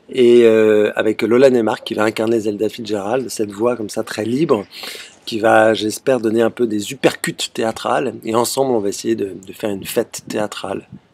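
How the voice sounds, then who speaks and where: A man's medium-pitched voice keeps fairly even intonation, with noticeable background noise behind it. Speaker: theatre director. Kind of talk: video self-presentation. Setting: outdoors on a terrace. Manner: fast.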